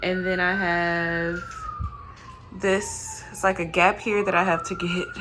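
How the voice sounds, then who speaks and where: Noticeable background noise surrounds a woman's voice. Room echo can be clearly heard. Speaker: home renovation vlogger. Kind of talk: casual vlog narration. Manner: casual with many fillers.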